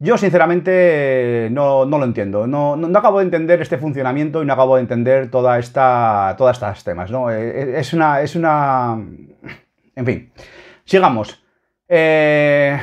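Against a quiet background, a man talks at a fairly slow pace and a fairly high pitch, with an animated tone and ordinary pitch variation. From Spain. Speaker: football YouTuber; football fan video blogger. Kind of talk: opinion commentary reading a column. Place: home room. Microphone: webcam.

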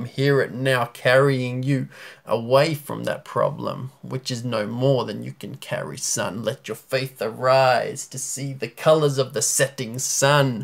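Over a quiet background, a man speaks at a fairly slow pace with hardly any pauses. His loudness swings widely. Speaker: spoken word poet. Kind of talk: spoken word poetry performance. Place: home room. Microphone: phone near.

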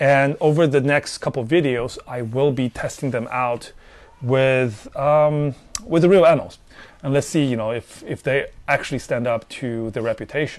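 Keeping a moderate pace, a man talks with ordinary pitch variation. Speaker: gear reviewer. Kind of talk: casual explanatory talk to camera. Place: garden. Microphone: lapel.

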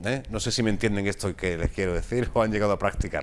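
Over light background noise, a man talks with a fairly low pitch. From Spain. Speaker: TV magazine host. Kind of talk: interview. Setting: studio. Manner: halting. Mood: relaxed, humorous. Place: studio. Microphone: lapel.

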